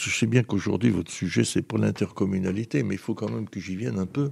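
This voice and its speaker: Barely pausing, a man talks at a very fast pace. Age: 80s+. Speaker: former mayor. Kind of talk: interview. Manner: halting.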